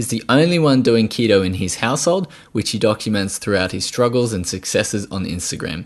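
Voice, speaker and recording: Speaking at a fairly quick pace, a man has a medium pitch and lively intonation. He takes hardly any pauses. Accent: Australian. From Australia. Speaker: podcast host, nutritional therapist. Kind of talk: podcast interview.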